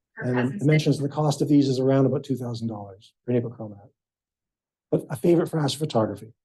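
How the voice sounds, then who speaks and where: A man's dark, mellow, somewhat breathy voice at a very fast pace. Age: 60s. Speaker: amateur astronomer. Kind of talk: club presentation.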